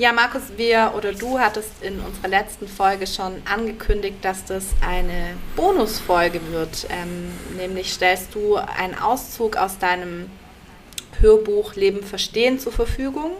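A woman at a medium pitch and fairly slow pace, ordinary pitch variation, noticeable background noise. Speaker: podcast co-host. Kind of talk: casual chat.

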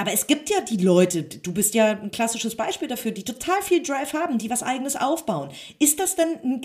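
A woman talks at a very fast pace in a fairly high pitch. Her pitch swings very widely. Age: 30s. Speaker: magazine publisher and interviewer. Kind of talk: interview. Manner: hesitant with many fillers.

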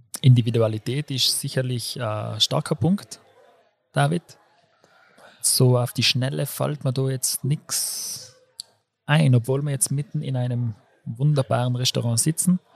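The voice has ordinary pitch variation and a fairly slow pace, broken by long, frequent pauses. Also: man, medium pitch for a man. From South Tyrol (Brixen), Italy. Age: 30s. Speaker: physiotherapist. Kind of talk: casual chat. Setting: restaurant. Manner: loud.

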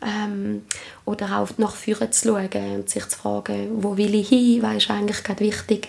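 Moderate-paced speech from a woman over noticeable background noise. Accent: Appenzell. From Switzerland, Appenzell. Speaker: trauma therapist and ritual leader. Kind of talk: interview. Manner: hesitant, many fillers.

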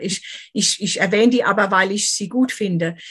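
Here a woman is speaking. Her pitch is medium and her pace moderate. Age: 50s. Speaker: author and finance professional. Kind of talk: interview.

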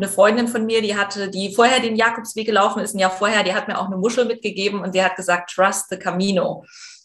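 A woman of medium pitch speaks very fast, with hardly any pauses and a monotone, flat intonation. Noticeable background noise sits underneath. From eastern Germany. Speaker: presenter and journalist. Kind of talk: interview.

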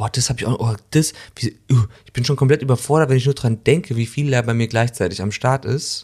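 On a very clean recording with a silent background, a man speaks fairly quickly at a medium pitch, animated and somewhat breathy, with big swings in loudness. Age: 40s. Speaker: actor and podcast co-host. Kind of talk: casual chat.

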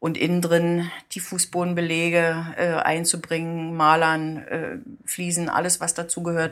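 A woman speaks in a monotone, flat intonation while keeping a moderate pace. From eastern Germany, Brandenburg (Guben). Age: 60s. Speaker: municipal building department head. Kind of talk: casual interview.

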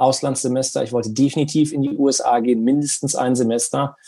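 This man speaks at a moderate pace in a fairly high pitch with a dark, mellow tone and ordinary pitch variation, captured in a very clean recording with a silent background. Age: 40s. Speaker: esports company executive. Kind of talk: interview.

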